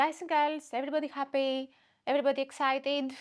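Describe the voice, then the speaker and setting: A woman's high-pitched voice on a very clean recording with a silent background. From Greece. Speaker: comedian. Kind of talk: casual chat. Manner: animated.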